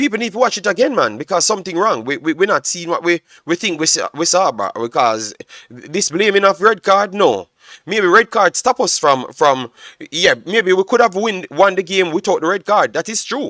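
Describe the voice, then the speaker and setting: A man projects a raised voice at a high pitch with a bright, sharp tone. His intonation is lively, and the sound is dry and close with no echo. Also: moderate pace. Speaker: football analyst streamer. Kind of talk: live stream match analysis. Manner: loud, animated.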